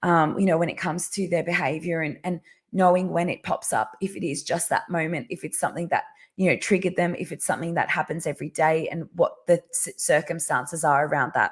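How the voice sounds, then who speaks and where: A woman's somewhat breathy, fairly low voice in an Australian accent, very fast and fairly even in intonation, in a very clean recording with a silent background. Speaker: parenting educator. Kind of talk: live stream talk. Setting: live video stream. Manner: halting, many fillers.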